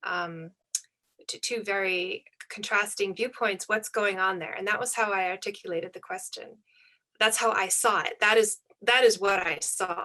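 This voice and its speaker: A woman's medium-pitched, bright, sharp voice at a moderate pace, with fairly even intonation. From United States. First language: German and Japanese. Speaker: author. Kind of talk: panel discussion. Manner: halting.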